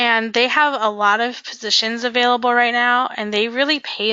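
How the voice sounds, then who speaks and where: This woman has an ordinary speaking voice, delivered at a moderate pace with fairly even intonation. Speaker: career coach. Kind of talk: webinar presentation. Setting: online webinar.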